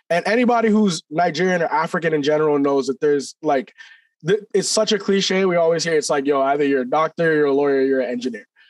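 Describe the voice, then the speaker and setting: Fairly high-pitched, a man speaks at a very fast pace with very even loudness in a dry, close sound with no echo. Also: lively intonation. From Canada (Toronto area), born in Nigeria. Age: 20s. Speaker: rapper. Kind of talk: interview. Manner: halting, many fillers.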